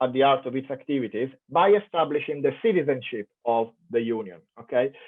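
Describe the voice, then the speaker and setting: With an Italian accent, a man speaks at a moderate pace using very wide pitch swings. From Italy. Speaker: professor. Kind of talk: keynote lecture. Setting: online conference.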